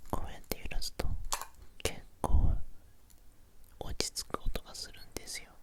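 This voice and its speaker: Through noticeable background noise comes whispering at a moderate pace, broken by long, frequent pauses. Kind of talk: ASMR sleep video. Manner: whispered.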